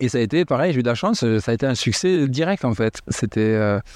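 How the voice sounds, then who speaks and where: A man at a medium pitch speaks with lively intonation. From southern France, Montauban. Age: 40s. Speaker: house DJ and event organizer. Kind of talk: interview. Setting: host's living room.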